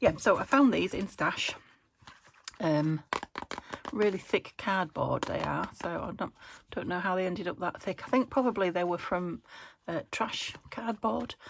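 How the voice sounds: A woman's fairly low, croaky voice with vocal fry and a slightly husky edge, at a fairly slow pace with ordinary pitch variation.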